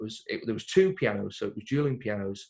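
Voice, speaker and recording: A man with an English accent speaks at a fairly quick pace. His voice is somewhat breathy and swings very widely in pitch. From Crewe, England. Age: 20s. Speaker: singer-pianist. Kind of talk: interview answer. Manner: casual, chatty.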